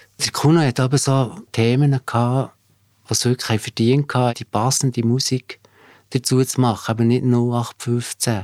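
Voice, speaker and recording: A man has an unremarkable speaking voice at medium pitch with fairly even intonation. The sound is dry and close with no echo, in a very clean recording over a silent background. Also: fairly slow pace. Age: 50s. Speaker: former band bassist. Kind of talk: interview recollection.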